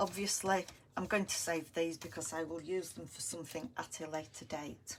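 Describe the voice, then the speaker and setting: Moderate pace and ordinary pitch variation from a woman, an unremarkable speaking voice, fairly low-pitched. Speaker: crafting video host. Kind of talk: crafting tutorial. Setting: live stream on camera.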